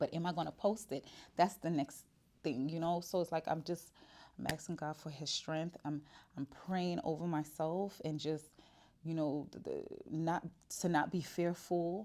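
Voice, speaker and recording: A woman's fairly low, dark, mellow voice with long, frequent pauses, on a very clean recording with a silent background. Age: 40s. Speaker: lifestyle vlogger and wig business owner. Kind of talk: casual personal vlog monologue. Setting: self-recorded to camera. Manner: fast; animated, repetitive stammering.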